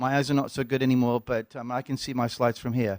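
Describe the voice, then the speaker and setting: A man with an English accent at a medium pitch and a very fast pace, in a dry, close sound with no echo and a very clean recording with a silent background. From England. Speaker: pharmacology professor. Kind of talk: lecture. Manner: halting, many fillers.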